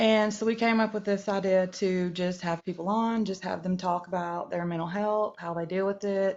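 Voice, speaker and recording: A woman talks at a medium pitch with a North Georgia accent. Her intonation is flat and monotone, with hardly any pauses. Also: moderate pace. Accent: Southern, north Georgia mountain. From US South, north Georgia. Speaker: TikTok live guest. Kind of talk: casual chat. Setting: livestream. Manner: hesitant, many ums.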